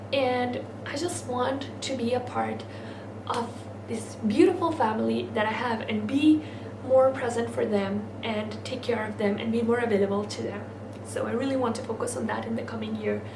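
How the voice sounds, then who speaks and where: With audible room echo and noticeable background noise, a woman talks at a moderate pace. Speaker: lifestyle vlogger. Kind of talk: vlog talk to camera.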